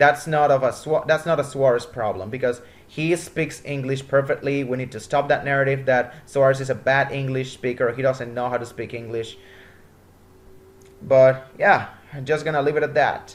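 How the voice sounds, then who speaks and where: A man speaks in a Spanish accent with a fairly high pitch. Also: fairly even intonation, moderate pace. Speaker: motorsport commentator. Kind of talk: casual commentary.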